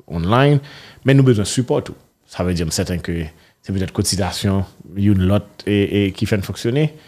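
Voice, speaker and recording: A man's voice, the recording very clean and the background silent. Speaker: radio host. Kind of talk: interview.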